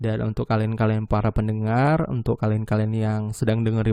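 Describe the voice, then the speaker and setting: In a dry, close sound with no echo, a man speaks at a medium pitch with a dark, mellow tone. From Medan, North Sumatra, Indonesia. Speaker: podcast host. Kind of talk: solo podcast monologue. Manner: casual, conversational.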